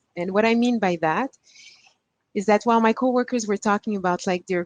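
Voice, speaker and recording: A woman speaks with a Quebec accent at a moderate pace. Her intonation stays fairly even. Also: dry, close sound with no echo. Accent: Québécois French-accented English. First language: French. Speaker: panelist. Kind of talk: personal story on a panel. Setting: virtual conference. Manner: halting.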